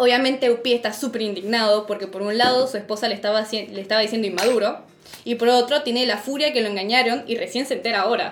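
Talking at a very fast pace with fairly even intonation, this voice comes through over noticeable background noise. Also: woman, fairly high pitch for a woman. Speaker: podcast host. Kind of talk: casual chat.

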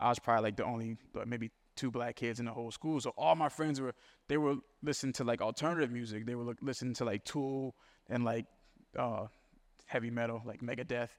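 The recording is very clean, with a silent background. The speaker talks very fast with fairly even intonation. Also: man, medium pitch for a man. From New Orleans. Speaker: film director. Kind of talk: casual interview.

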